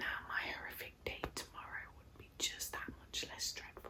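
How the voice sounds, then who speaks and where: Over noticeable background noise, a woman speaks in a whisper. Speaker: ASMR creator. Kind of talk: ASMR bedtime story reading.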